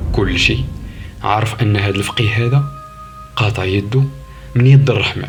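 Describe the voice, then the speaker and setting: Over music in the background, a man talks at a fairly slow pace in a fairly low pitch with ordinary pitch variation. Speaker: storyteller. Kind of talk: horror story narration.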